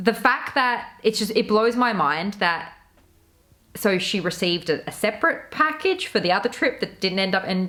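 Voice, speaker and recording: With an Australian accent, a woman of fairly high pitch speaks at a moderate pace in a bright, sharp, animated tone with lively intonation. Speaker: YouTuber, commentary creator. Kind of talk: casual commentary video.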